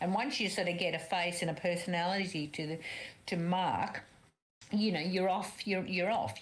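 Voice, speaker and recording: A woman speaks in a strong Australian accent at a fairly low pitch and a moderate pace. Her intonation is fairly even, and the room echo is audible. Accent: very Australian. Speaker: book club guest. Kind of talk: casual chat. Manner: loud; halting.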